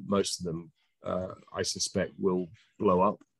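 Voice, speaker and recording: With a British accent, a man speaks in a dry sound with no echo against a quiet background. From UK. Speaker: cannabis industry investor; panelist. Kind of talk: panel discussion. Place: home room. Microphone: video call.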